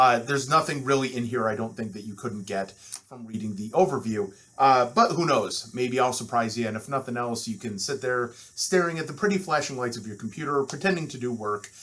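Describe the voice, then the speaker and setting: The speech comes at a fairly quick pace with a Midwestern accent, ordinary pitch variation and big swings in loudness. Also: man, medium pitch for a man. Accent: nasal Midwestern. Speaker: university instructor. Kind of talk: lecture. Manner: fast.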